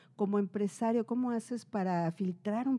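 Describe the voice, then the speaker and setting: The pitch of this woman's voice varies in an ordinary way. Her tone is dark and mellow. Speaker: podcast co-host. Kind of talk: casual chat. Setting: live stream on Instagram.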